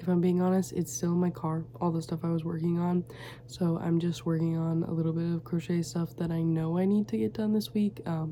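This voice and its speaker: A quiet voice at a fairly quick pace, with ordinary pitch variation and very even loudness. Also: woman, fairly low pitch for a woman. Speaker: crochet small business owner and vlogger. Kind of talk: casual vlog chat. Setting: home studio, late at night. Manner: quiet, hushed; chatty, many fillers.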